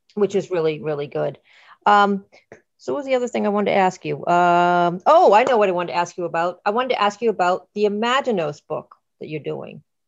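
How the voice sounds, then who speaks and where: Her pitch sits in the medium range for a woman, and her intonation is lively. This woman talks at a very fast pace. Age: 50s. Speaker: podcast host. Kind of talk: casual interview chat. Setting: online call.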